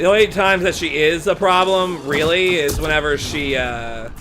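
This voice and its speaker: Noticeable noise can be heard in the background. Through it a man talks in a high voice. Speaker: gaming let's play host. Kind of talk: casual let's play commentary. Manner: hesitant, many fillers.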